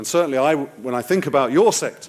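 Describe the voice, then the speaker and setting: A man with an English accent at a moderate pace. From England. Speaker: political analyst and advisor. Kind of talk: conference talk.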